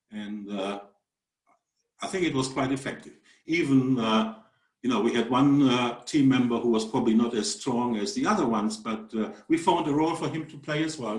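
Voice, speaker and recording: A man with a German accent speaks at a moderate pace, his medium pitch showing ordinary variation. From Germany. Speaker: mathematics professor. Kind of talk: webinar presentation. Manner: halting, many fillers.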